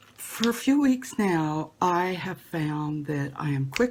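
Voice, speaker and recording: A woman is speaking. Her intonation is lively. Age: 60s. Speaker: lay speaker at church service. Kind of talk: spiritual talk.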